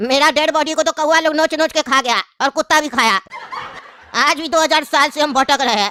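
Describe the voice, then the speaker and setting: A cartoonish character voice pitched high. It rattles along at a very fast pace. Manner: cheeky, comic.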